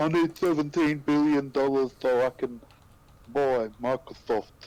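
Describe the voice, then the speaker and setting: Using a put-on character voice, a man talks at a fairly slow pace in a fairly high pitch with fairly even intonation. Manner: slurred, mocking.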